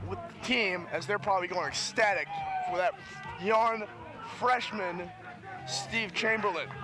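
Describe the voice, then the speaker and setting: Over noticeable background noise, a man with a high pitch speaks in a raised, projected voice at a moderate pace. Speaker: sports broadcaster. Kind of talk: baseball play-by-play commentary.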